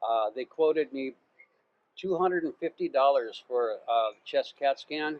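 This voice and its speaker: The voice carries an American accent and ordinary pitch variation. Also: man. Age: 60s. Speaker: expat YouTuber. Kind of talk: casual chat. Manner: halting, many fillers and repeats.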